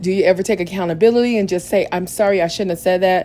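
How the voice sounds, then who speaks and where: In an American accent, a woman speaks with a dark, mellow tone. Her pitch is medium with ordinary variation. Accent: slightly country. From Missouri. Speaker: reality TV recap youtuber. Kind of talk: podcast-style show recap.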